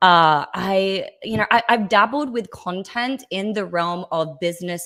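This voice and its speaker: Female speech in an Australian accent, with ordinary pitch variation. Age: 20s. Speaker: podcast guest, content creator. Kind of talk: casual podcast interview. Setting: remote stream from home setup.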